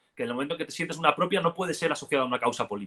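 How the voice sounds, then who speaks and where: The man's voice has a bright, sharp tone. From Catalonia, Spain. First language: Catalan (speaking Spanish). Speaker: political activist and commentator. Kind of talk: interview conversation.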